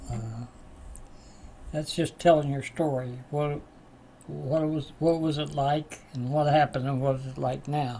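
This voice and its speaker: A man speaks with an Appalachian accent at a fairly slow pace, his voice somewhat breathy and fairly high-pitched for a man. His intonation is flat and monotone, broken by long, frequent pauses. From West Virginia. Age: 80s+. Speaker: spiritual teacher and recovery class leader. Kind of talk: class talk with personal stories. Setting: live online class. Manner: halting, many fillers.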